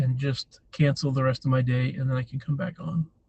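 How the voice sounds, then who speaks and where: Here is a man with an American accent and a fairly high pitch. His voice is somewhat breathy, and his pace is moderate. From New Hampshire, US. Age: 40s. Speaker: live streamer. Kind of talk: casual chat. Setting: livestream. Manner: casual, meandering.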